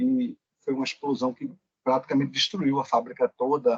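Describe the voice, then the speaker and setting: The lively intonation comes through with a dry, close sound and no echo. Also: man. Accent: Pernambuco. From Pernambuco, Brazil. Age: 40s. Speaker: occupational safety engineer. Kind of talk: interview.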